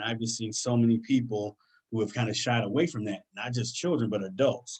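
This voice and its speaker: An excited man with an American accent, medium pitch and a fairly quick pace, over a quiet background. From US Midwest, Detroit, Michigan; Michigan. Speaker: career guest speaker; speaker. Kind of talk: presentation to students. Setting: online video session. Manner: fast, excited delivery. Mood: earnest, encouraging. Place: home room. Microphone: webcam.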